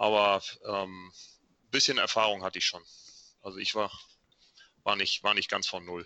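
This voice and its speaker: A man's monotone, flat delivery at a moderate pace, broken by long, frequent pauses. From Schleswig-Holstein, northern Germany. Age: 50s. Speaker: amateur triathlete and cyclist. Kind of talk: casual chat.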